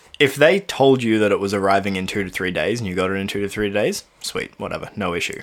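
A man with an Australian accent races along at a very fast pace with hardly any pauses, using a fairly low pitch and ordinary pitch variation. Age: 20s. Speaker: podcast co-host. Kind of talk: casual chat.

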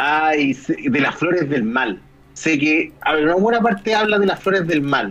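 Someone speaks at a fairly slow pace in a Chilean accent. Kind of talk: casual chat.

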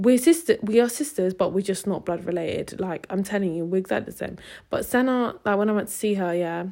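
A woman with a British accent talks at a very fast pace in a medium pitch, her dark, mellow tone showing ordinary pitch variation. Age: 20s. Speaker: podcast host. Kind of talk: casual solo chat.

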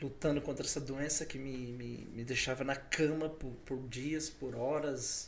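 With audible room echo, a man speaks at a moderate pace and a fairly high pitch. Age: 40s. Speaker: elder and international trade professional. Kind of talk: casual chat. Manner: hesitant, repeating words.

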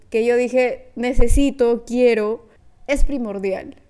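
A woman with an unremarkable speaking voice talks at a fairly slow pace. Her pitch is fairly high, with ordinary variation. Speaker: podcast host. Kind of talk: casual solo podcast monologue.

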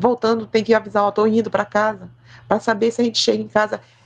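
A woman talking at a fairly quick pace over music in the background. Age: 50s. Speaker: quilombola community activist. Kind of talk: testimony.

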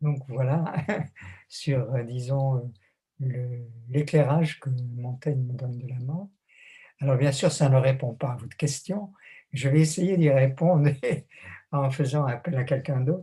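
Delivered at a very slow pace with long, frequent pauses, the voice is somewhat breathy and dark and mellow in tone, with fairly even intonation. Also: man, medium pitch for a man. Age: 80s+. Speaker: theologian and author. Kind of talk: interview.

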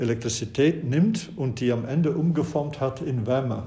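Speaking at a fairly slow pace, a man with a fairly high pitch, a dark, mellow tone and a somewhat breathy sound uses ordinary pitch variation amid audible room echo. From Flanders, Belgium. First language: Dutch (Flemish) (speaking German). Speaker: professor. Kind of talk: interview. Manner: hesitant with many fillers.

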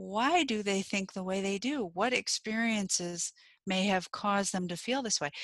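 This is an unremarkable speaking voice from a woman with an American accent. She talks at a moderate pace and medium pitch, with ordinary pitch variation. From United States. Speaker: video podcast co-host. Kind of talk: casual conversation.

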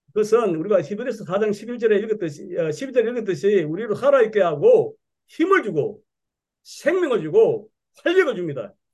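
A man speaks in a high voice with very wide pitch swings. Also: moderate pace. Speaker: church speaker. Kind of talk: church meeting talk.

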